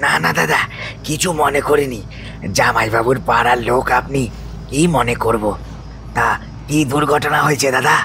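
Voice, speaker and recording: A man puts on a hoarse, wheezy, raspy character voice at a medium pitch and moderate pace, with clear background noise. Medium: audio drama. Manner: calm, rustic, repeatedly says "dada".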